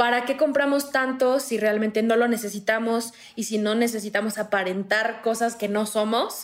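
Using an ordinary speaking voice, a woman talks at a moderate pace with fairly high pitch, fairly even intonation and very even loudness. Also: hardly any pauses. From Morelos, Mexico. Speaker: zero-waste content creator. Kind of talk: casual chat.

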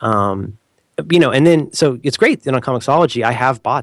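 An unremarkable speaking voice with an American accent moves at a fairly quick pace with lively intonation, recorded very cleanly over a silent background. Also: man. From United States. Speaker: podcaster and internet personality. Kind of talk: casual chat. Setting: call.

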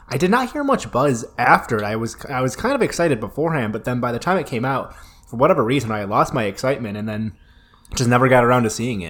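A man's voice at a medium pitch with ordinary pitch variation, at a very fast pace. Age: 20s. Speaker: podcast host reviewing horror movies. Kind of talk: casual chat.

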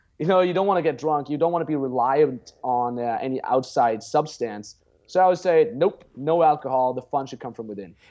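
With an Austrian accent, a man speaks fairly quickly and with hardly any pauses in a dark, mellow, fairly high voice, his intonation lively and his loudness swinging widely. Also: quiet background. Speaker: pickup artist and dating coach. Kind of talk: casual interview chat. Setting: video call.

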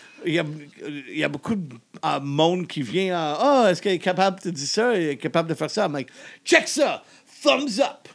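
The speech moves at a moderate pace with very wide pitch swings and long, frequent pauses. The recording is very clean with a silent background. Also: man, high pitch for a man. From Germany. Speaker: comedian. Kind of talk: casual chat. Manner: halting French with English mixed in.

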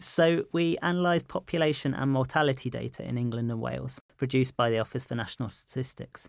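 A man at medium pitch with a London accent, talking at a very fast pace with hardly any pauses and ordinary pitch variation, in a dry, close sound with no echo. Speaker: physician and researcher. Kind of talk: interview.

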